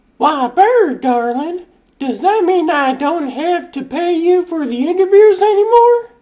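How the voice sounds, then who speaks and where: In a put-on character voice, a woman talks at a fairly slow pace with extremely high pitch and very wide pitch swings. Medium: fan dub. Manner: affected, haughty.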